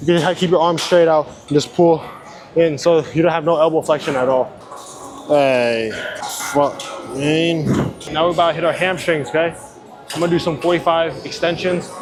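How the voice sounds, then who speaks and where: A man talks at a fairly quick pace in a fairly high pitch, with fairly even intonation and long, frequent pauses. Noticeable background noise and audible room echo fill the recording. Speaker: fitness vlogger. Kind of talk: casual gym vlog. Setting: gym. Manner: casual.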